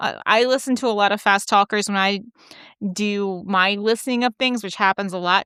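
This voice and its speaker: Bright and sharp in tone, a woman speaks animatedly at a medium pitch, the sound dry and close with no echo on a very clean recording with a silent background. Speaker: podcast and radio host. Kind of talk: casual monologue podcast. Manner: fast.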